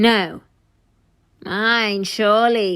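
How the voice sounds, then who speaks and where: In a put-on character voice, a woman drawls at a medium pitch with fairly even intonation. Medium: read story. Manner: sarcastic drawl.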